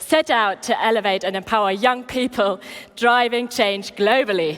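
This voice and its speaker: Speaking at a moderate pace with a German accent, a woman uses a fairly high pitch and ordinary pitch variation. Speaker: event host. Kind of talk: event presenting. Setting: stage with audience.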